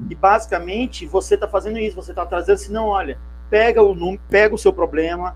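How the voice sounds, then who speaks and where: The speaker is a man. His pace is fairly quick. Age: 50s. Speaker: CRM consultant and interview host. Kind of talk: interview.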